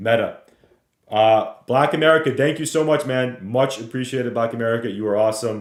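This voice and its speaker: Loud and very fast, a man talks. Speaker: stock trading streamer. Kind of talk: live market analysis webinar. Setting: livestream. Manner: casual.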